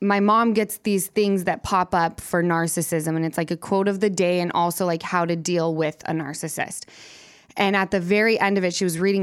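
A woman with an unremarkable speaking voice uses a medium pitch and fairly even intonation. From Salt Lake City, Utah. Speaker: reality TV personality guest. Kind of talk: casual podcast conversation.

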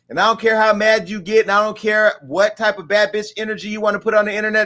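A man speaks in a raised, projected voice with a high pitch and a bright, sharp tone. His delivery is animated and very fast. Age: 40s. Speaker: talk show host. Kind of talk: casual chat. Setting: studio.

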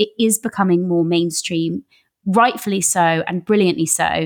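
With an English accent and ordinary pitch variation, the voice sounds dry and close with no echo on a very clean recording with a silent background. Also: woman. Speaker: podcast host. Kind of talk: interview.

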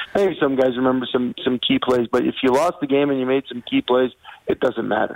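A man talks at medium pitch, his ordinary pitch variation set against noticeable background noise. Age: 40s. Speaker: retired pro football player training as firefighter. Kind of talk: radio interview. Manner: hesitant, many fillers.

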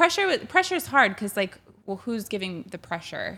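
With an American accent, a woman speaks at a moderate pace. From Chicago. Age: 30s. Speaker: sports broadcaster. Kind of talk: casual chat.

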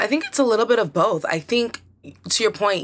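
Over a very clean recording with a silent background, a woman speaks with an American accent. Her tone is bright and sharp, her intonation lively. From Nigerian American. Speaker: social media journalist. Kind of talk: casual chat.

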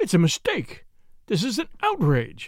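A put-on character voice at a moderate pace. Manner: gasping, outraged.

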